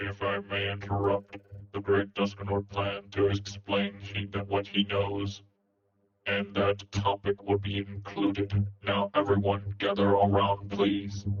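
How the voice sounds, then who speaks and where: The speaker uses a put-on character voice with monotone, flat intonation. The pace is fairly slow. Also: man, fairly low pitch for a man. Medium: machinima. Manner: stiff, official.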